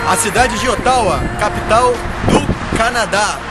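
A man talks over music in the background, with a dry sound and no echo. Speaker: travel vlogger. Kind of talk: casual travel vlog narration. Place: street. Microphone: phone near.

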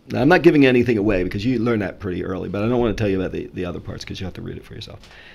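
Here a man speaks with a fairly low pitch. His pitch moves with ordinary variation. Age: 60s. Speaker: middle school math teacher; podcast guest, teacher. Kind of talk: casual interview. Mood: warm, appreciative. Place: studio. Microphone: studio mic.

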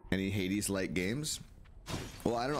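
There is noticeable background noise. Over it, a man speaks with a fairly low pitch. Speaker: gaming streamer. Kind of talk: live gameplay commentary. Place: home room.

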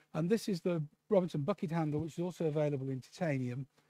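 Fairly high-pitched man with a British accent, dark, mellow tone, fairly quick pace and ordinary pitch variation, in a dry, close sound with no echo. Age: 60s. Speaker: ear surgeon. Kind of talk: lecture. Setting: conference with audience. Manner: casual.

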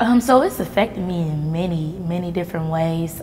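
Light background noise sits behind a woman whose pitch is fairly low. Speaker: interview guest. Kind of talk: interview answer. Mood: somber personal story of trauma. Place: hall.

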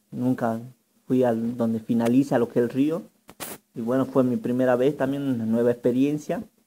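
A man speaks at a moderate pace in a dark, mellow tone. Light background noise can be heard. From northern Argentina. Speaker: vlogger. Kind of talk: vlog walking tour narration. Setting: outdoors. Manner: halting, with many fillers and repetitions. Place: waterside. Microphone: phone near.

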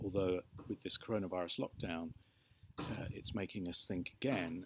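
Over light background noise, a man talks at a moderate pace in a very deep, low pitch with fairly even intonation, the sound dry with no echo. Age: 60s. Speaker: YouTuber vlogging about his electric car. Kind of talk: casual video diary monologue; casual vlog chat. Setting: in a barn. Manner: hesitant with many fillers. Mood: reflective, mild rant. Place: garden. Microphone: phone near.

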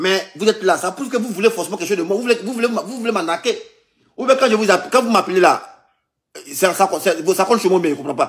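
Over a quiet background, a man with a high-pitched voice talks at a very fast pace with ordinary pitch variation. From Ivory Coast. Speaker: vlogger recounting scam calls. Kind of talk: heated phone argument. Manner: repetitive, exasperated. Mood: indignant, mocking. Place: home room. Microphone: phone near.

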